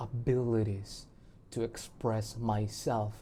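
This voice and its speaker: Medium in pitch, the man's voice has a dark, mellow tone. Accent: non-native. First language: not English. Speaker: musician and video blogger. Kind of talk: personal video diary monologue. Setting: recording alone to camera. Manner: halting, with many fillers and restarts; shy.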